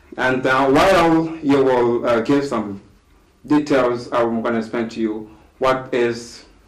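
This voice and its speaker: Over noticeable background noise and audible room echo, a man with a medium pitch talks with ordinary pitch variation. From DR Congo. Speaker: discussion guest on leadership. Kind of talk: talk show discussion. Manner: slow, deliberate; halting.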